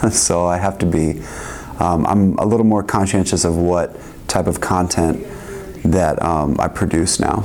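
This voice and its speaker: Against noticeable background noise, a man with a very deep, low voice speaks with fairly even intonation. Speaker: music producer and educator. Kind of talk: interview. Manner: halting, many fillers.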